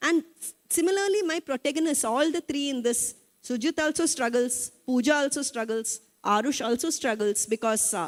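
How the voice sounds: A woman with a high pitch speaks at a moderate pace with few pauses and ordinary pitch variation, in a dry, close sound with no echo.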